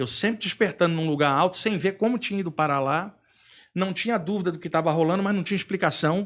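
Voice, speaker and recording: A man speaks at a very fast pace with a high pitch. The recording is very clean, with a silent background. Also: ordinary pitch variation. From Brazil, Rio de Janeiro. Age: 60s. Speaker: spiritual author and lecturer. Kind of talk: podcast interview, personal story.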